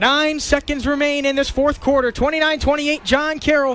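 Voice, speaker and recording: Over noticeable background noise, the speech runs at a very fast pace with monotone, flat intonation. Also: man. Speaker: college football radio play-by-play announcer. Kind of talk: live radio sports play-by-play. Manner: tense, rapid-fire game description.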